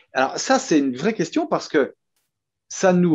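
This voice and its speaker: Speaking with a Franche-Comté accent, a man moves at a moderate pace with very wide pitch swings against a quiet background. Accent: Franche-Comté regional French. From France, Franche-Comté. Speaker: company co-founder. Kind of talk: interview. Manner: hesitant, many fillers and repeats.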